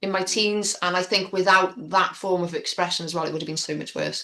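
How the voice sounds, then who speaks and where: A woman with a North Wales accent speaks at a fairly quick pace, her medium-pitched voice bright and sharp with fairly even intonation. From Wrexham, North Wales. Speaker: spoken word poet; youth workshop leader. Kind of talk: interview answer. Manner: open, candid.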